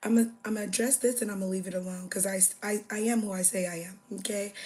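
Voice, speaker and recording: A woman of medium pitch speaks very fast in a somewhat breathy voice with a dark, mellow tone. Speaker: livestreamer. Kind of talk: casual livestream chat. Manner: animated.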